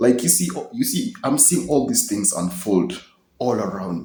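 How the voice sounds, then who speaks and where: A somewhat breathy voice with a dark, mellow tone, at a moderate pace, with very wide pitch swings. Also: man. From Kenya. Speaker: video blogger. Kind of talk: personal monologue to camera. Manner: casual, hesitant with many fillers.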